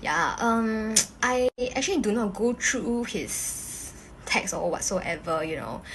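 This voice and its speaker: A woman's fairly high voice at a very slow pace, with noticeable background noise. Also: lively intonation. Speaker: social media influencer. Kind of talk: casual vlog talk. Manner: casual, filler-heavy.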